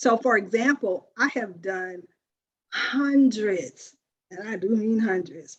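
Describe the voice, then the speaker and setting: A woman with an American accent talks at a very slow pace in a fairly high pitch. Her intonation is lively, and her loudness swings widely. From US South. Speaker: life coach hosting a women's circle. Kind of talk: group sharing talk. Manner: expressive.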